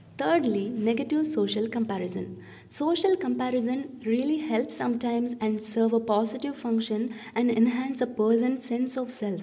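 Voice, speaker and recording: At a moderate pace, a woman talks with a fairly high pitch and ordinary pitch variation. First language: not English. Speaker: podcast host. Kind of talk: solo educational talk.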